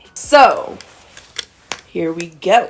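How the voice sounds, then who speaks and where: A woman's voice over noticeable background noise. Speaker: vlogger and advice co-host. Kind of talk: casual advice chat.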